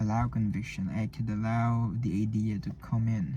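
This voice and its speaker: With a non-native accent, a man speaks at medium pitch and a fairly slow pace. His tone is dark and mellow and somewhat breathy. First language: not English. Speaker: vlogger practicing public speaking. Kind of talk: solo vlog monologue. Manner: halting, many false starts and repetitions.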